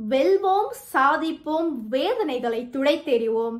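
A woman with a high voice speaks with lively intonation against a quiet background. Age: 20s. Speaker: student contestant; news reading contestant. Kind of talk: news reading. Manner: formal. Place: home room. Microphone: phone near.

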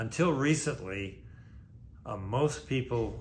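A somewhat breathy male voice with an American accent, over light background noise. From California, Santa Barbara; California. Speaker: boat broker and sailor. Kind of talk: narrated video talk. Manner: hesitant, frequent uh fillers. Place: office.

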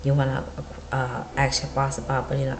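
Light background noise behind a woman talking at a moderate pace. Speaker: vlogger. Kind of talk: encouraging casual vlog talk. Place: home room. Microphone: webcam.

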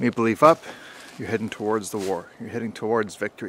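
Over light background noise, a man talks at a fairly quick pace with a fairly low pitch and fairly even intonation. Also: dry sound with no echo. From Canada. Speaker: history and shooting video creator; shooting video creator. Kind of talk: vlog-style history talk. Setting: outdoors at an old wartime rifle range. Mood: relaxed, conversational. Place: forest. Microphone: phone near.

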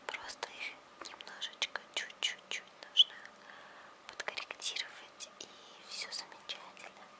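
Very slowly, a woman speaks in a whisper. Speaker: ASMR creator. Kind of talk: ASMR roleplay, personal attention makeup. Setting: studio, ear to ear binaural microphone. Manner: whispered, soft. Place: home room. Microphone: phone near.

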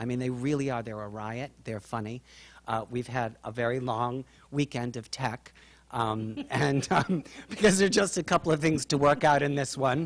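The voice moves at a moderate pace with ordinary pitch variation. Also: man. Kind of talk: interview answer. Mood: warm, appreciative. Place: stage. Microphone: handheld.

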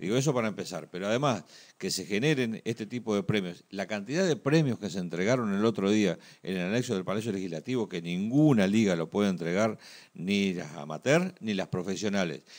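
Against a quiet background, a man with a Uruguayan accent speaks fairly quickly in a fairly low voice with lively intonation. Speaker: sports TV co-host. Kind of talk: TV sports talk show. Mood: amused, reminiscing. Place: studio. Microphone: studio mic.

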